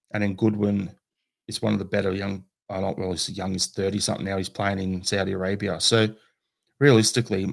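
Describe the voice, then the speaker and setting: On a very clean recording with a silent background, a man with an Australian accent talks very fast at a fairly low pitch in a monotone, flat intonation. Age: 40s. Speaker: football podcaster. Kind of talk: casual chat.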